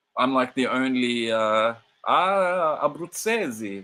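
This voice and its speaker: Very slowly and with lively intonation, a man with an Australian accent talks at a medium pitch in a bright, sharp tone. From Australia, Sydney. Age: 40s. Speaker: football streamer. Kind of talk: casual live watch-along commentary. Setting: live stream.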